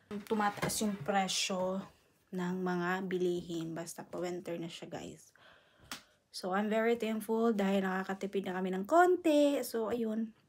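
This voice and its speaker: A soft-spoken woman's medium-pitched voice at a fairly slow pace, with ordinary pitch variation. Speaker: vlogger. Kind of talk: casual vlog. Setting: at home. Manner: soft-spoken, lowered voice.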